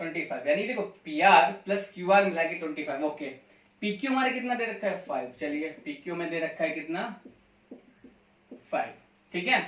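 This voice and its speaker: A man's high-pitched voice with lively intonation and long, frequent pauses over noticeable background noise. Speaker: math teacher. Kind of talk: lecture.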